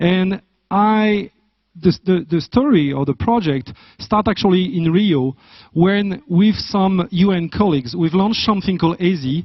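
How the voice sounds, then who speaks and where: Here a man with a French accent speaks in a high voice with ordinary pitch variation. His pace is fairly slow and his loudness very even. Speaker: business school academic. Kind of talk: conference talk. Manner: halting.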